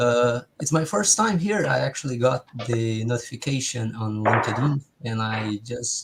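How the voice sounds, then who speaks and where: In a Brazilian accent, a man talks at a moderate pace. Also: medium pitch for a man, ordinary pitch variation. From southern Brazil, Rio Grande do Sul. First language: Portuguese. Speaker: meetup participant. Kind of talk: casual chat. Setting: video call.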